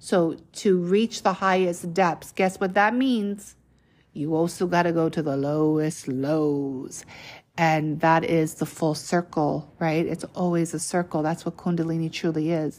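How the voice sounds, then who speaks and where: A woman's normal speaking voice, fairly low in pitch, with ordinary pitch variation and a fairly slow pace, on a very clean recording with a silent background. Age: 30s. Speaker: spiritual podcaster. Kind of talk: spiritual monologue. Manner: casual, conversational.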